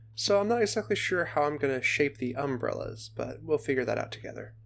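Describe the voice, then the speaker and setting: A soft-spoken man is heard on a very clean recording with a silent background. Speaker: gaming video creator. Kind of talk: casual gameplay commentary. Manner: relaxed, with pauses and fillers.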